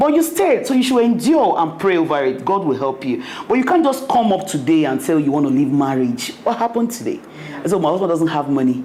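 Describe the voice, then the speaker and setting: Over noticeable background noise and audible room echo, a woman talks at a fairly quick pace with very wide pitch swings. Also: very even loudness. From Nigeria. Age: young. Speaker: restaurant owner. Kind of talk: interview.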